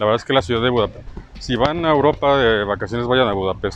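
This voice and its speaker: Noticeable background noise sits behind a man talking at a very fast pace. His pitch varies an ordinary amount. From Mexico, Bajío (Irapuato). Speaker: podcaster, designer. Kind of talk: casual monologue while walking. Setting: outdoors, city plaza at night.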